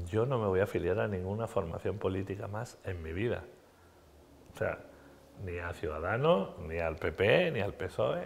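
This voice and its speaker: A man with a fairly low, somewhat breathy voice talks at a moderate pace with ordinary pitch variation, leaving long, frequent pauses. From Andalusia, Spain. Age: 60s. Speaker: politician. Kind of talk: TV interview. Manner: animated.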